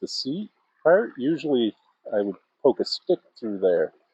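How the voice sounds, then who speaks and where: A man speaks at a fairly slow pace with a relaxed, dark, mellow tone. The sound is dry and close, with no echo. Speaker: outdoor vlogger. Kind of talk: casual vlog monologue. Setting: outdoors. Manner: loud.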